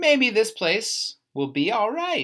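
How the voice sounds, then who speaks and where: This is a put-on character voice that sounds female. Its pitch swings very widely. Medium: read story. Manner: bossy, fussy.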